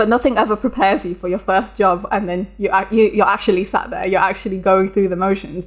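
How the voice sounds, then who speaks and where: A woman's fairly quick, medium-pitched speech in an English accent, with fairly even intonation and hardly any pauses. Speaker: software developer. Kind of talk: interview.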